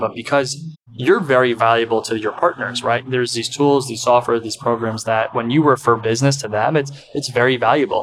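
A man talks at a very fast pace with an American accent and ordinary pitch variation. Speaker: podcast host. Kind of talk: interview, casual chat.

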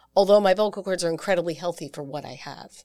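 With an American accent, a woman talks at a fairly quick pace in a fairly low pitch, an unremarkable speaking voice on a very clean recording with a silent background. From US Northeast, New York. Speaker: singer and vocal coach. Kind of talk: casual interview. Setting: studio.

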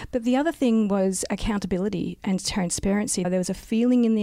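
A woman with an Australian accent talks at a fairly quick pace in a dark, mellow tone with ordinary pitch variation. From South Australia. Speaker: local councillor and geologist. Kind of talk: interview.

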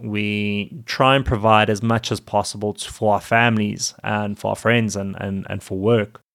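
In a very clean recording with a silent background, a man speaks at a moderate pace and medium pitch in an ordinary speaking voice. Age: 30s. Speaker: podcast host and fitness coach for dads. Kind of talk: solo podcast monologue.

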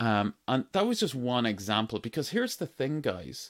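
This man has an Irish accent and a medium pitch, with very wide pitch swings at a moderate pace. The recording is very clean, with a silent background. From Ireland. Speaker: entrepreneur podcast host. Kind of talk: solo podcast monologue. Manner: casual, uses many fillers.

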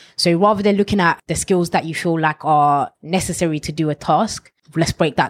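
A woman's voice at a fairly quick pace with ordinary pitch variation. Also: dry, close sound with no echo. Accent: London. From London, Ilford. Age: 20s. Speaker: former bank manager, youth mentor. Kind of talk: interview.

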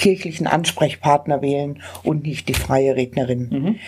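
Her tone is dark and mellow, with ordinary pitch variation at a moderate pace. The recording of this woman is very clean, with a silent background. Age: 60s. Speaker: funeral celebrant. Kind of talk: interview. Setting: on location at a charity office.

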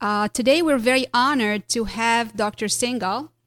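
Recorded very cleanly with a silent background and a dry, close sound with no echo, a woman with an ordinary speaking voice talks at a moderate pace with fairly high pitch and ordinary pitch variation. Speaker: dentist podcast host. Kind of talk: casual interview.

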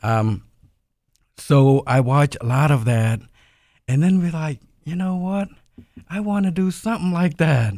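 A man speaks at a fairly slow pace with long, frequent pauses. His voice is fairly high-pitched and somewhat breathy, with lively intonation. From Cambodia. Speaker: media company co-founder. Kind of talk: interview.

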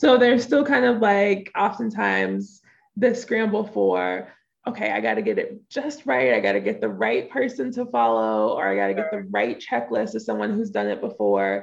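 A woman with a Southern Louisiana accent speaks at a moderate pace. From US South, southeast Louisiana near New Orleans. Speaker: business coach. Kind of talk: interview. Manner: casual, relaxed flow.

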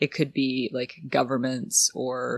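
With a Canadian accent, a woman speaks in a very deep, low pitch. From Canada, Ottawa. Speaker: digital security company founder. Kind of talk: interview conversation.

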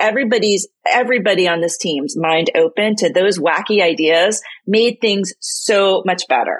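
This woman has an unremarkable speaking voice at medium pitch. Her intonation is lively. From US, Boston area. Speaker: writer and business owner. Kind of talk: casual chat.

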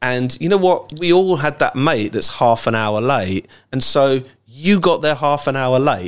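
A man with an English accent, fairly high in pitch, with lively intonation, on a very clean recording with a silent background. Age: 40s. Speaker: ecommerce startup founder. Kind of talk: casual interview chat.

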